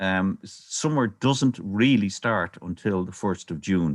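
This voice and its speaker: Using very wide pitch swings, a man talks with a Dublin accent. His pace is fairly slow. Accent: Dublin Irish. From Ireland, Dublin. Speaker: birdwatcher and nature presenter. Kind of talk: online illustrated talk.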